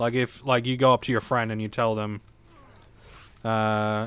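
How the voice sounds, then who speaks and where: In an Australian accent, a man speaks at a medium pitch with a playful tone and fairly even intonation. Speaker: video game streamer. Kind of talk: live stream chat. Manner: casual, playful.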